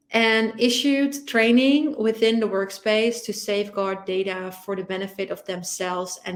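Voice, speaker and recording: With a Dutch accent, a woman of medium pitch speaks at a moderate pace. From Netherlands. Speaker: security podcast co-host. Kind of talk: casual chat.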